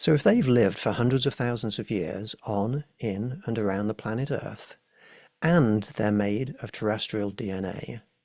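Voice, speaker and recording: Speaking in a fairly low pitch, a man has an English accent. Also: ordinary pitch variation, moderate pace. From England. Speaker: alien contact specialist. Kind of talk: lecture.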